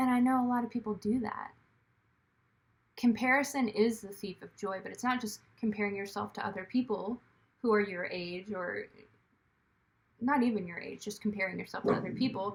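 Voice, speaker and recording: Somewhat breathy and fairly high-pitched, a woman speaks at a fairly quick pace with fairly even intonation, big swings in loudness, and long, frequent pauses. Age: 30s. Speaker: actor, writer and director vlogger. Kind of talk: casual vlog monologue. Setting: at home.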